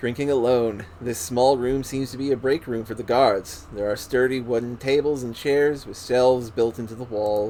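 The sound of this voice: The reading voice is unforced, and its intonation stays fairly even.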